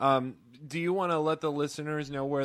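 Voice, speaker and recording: A man talks at a fairly quick pace in an unremarkable speaking voice. His intonation stays fairly even. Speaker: podcast co-host. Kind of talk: interview.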